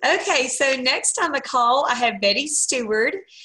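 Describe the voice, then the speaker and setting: Against a quiet background, a woman speaks with an American accent. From US South, Mississippi. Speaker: sales team leader hosting call. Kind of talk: casual team call. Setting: video call. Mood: warm, upbeat, encouraging. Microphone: webcam.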